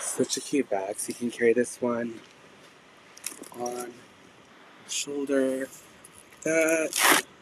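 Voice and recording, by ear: A man's slow speech at medium pitch, fairly bright in tone, with ordinary pitch variation and long, frequent pauses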